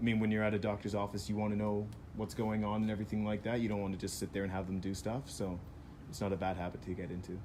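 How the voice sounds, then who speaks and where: A man's fairly low, dark and mellow voice rushes at a very fast pace in a monotone, flat delivery, with audible room echo around it. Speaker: physiotherapist who passed the exam. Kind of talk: casual advice talk. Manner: loud.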